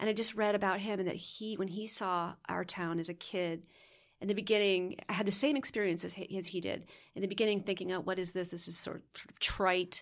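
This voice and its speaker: A woman with an American accent speaks in an ordinary speaking voice at medium pitch and a fairly quick pace, with fairly even intonation. The recording is very clean with a silent background. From Connecticut, US. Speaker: actress and director. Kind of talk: casual interview chat.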